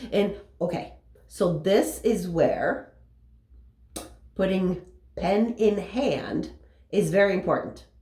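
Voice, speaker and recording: A woman speaks very slowly, with audible echo from the room. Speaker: motivational business coach. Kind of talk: motivational talk. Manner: casual.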